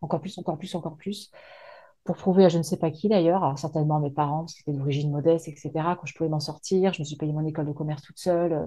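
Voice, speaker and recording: A woman's fairly low, somewhat breathy voice with a dark, mellow tone, fairly even intonation, a very fast pace, and a quiet background. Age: 40s. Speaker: business coach, former HR manager. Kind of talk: interview. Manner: hesitant, with many fillers.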